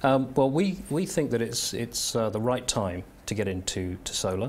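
The speaker's pitch swings very widely at a moderate pace. The voice is somewhat breathy. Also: man. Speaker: company strategy director. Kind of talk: business interview. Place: studio. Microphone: lapel.

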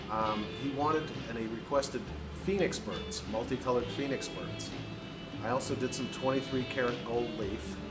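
Over loud background music, a man talks at a moderate pace. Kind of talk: tutorial. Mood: relaxed, friendly. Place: workshop. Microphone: phone near.

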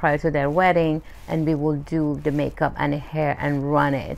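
Her pitch is very deep and low. The woman speaks at a moderate pace. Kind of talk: interview answer. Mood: warm, promotional. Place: studio.

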